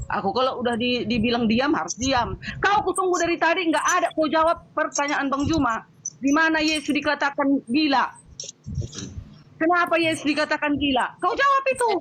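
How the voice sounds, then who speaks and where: Over noticeable background noise, a woman speaks in an angry tone at a high pitch and fairly quick pace, with lively intonation and very even loudness. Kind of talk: heated debate. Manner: loud, sounds angry by nature; forceful, interrupting.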